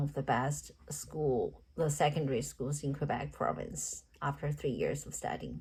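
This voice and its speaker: The speaker is a woman. She talks with a Chinese accent. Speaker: teaching candidate. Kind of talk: recorded job interview answers. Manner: halting.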